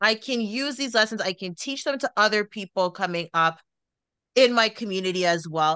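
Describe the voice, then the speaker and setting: In a quiet background with dry, close sound and no echo, a woman talks at a moderate pace and medium pitch, her tone bright, sharp and animated, with lively intonation. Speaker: podcast host and wellness coach. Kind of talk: casual interview chat.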